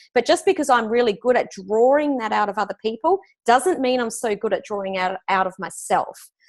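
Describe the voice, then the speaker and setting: In an Australian accent, the speaker uses lively intonation at a moderate pace against a quiet background. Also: woman. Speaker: business coach. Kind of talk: interview.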